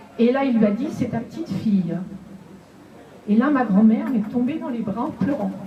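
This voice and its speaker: A woman's fairly high voice at a fairly slow pace, with ordinary pitch variation, audible room echo and noticeable background noise. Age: 60s. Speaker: audience member at literary café. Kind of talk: personal testimony. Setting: literary café with audience.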